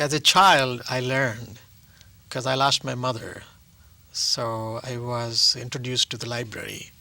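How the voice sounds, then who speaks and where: A man with an Indian accent speaks in a bright, sharp tone at a medium pitch, a fairly slow pace and fairly even intonation. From South India. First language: Telugu. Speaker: actor and playwright. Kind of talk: interview. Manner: halting.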